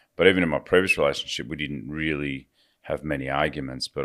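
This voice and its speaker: On a very clean recording with a silent background, a man with an Australian accent speaks at a fairly quick pace in a very deep, low pitch marked by vocal fry. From Australia, rural Victoria. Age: 50s. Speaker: recovering addict. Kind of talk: interview.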